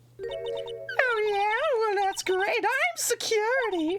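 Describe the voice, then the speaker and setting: An extremely high, put-on character voice speaks at a very slow pace. Clear music plays in the background. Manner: comical, mock-authoritative.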